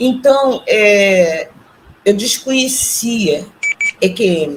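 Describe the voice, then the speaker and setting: The woman's pitch is medium. Noticeable background noise runs behind her. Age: 60s. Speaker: retiree and artisan, near-death experience witness. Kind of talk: testimony. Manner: halting.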